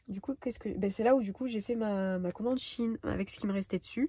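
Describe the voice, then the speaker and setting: A woman's somewhat breathy voice, dark and mellow in tone, at a fairly quick pace with ordinary pitch variation. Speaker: budgeting vlogger. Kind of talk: casual vlog chat. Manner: fast; hesitant, many fillers.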